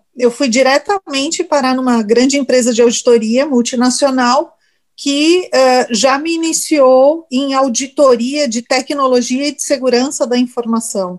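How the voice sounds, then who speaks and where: A woman speaks at a fairly slow pace, with hardly any pauses. Her pitch is high, with ordinary variation. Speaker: information security specialist and lecturer. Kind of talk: interview.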